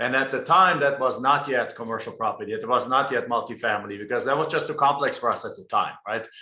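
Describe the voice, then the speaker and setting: In a German accent, a man speaks at a very fast pace with hardly any pauses. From Germany. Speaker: real estate investor. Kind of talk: interview. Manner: frequent word repetitions.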